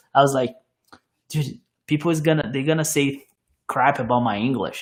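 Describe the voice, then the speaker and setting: A man at a fairly quick pace, with a Portuguese accent. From Brazil. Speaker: car YouTuber. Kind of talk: casual chat. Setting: live stream podcast.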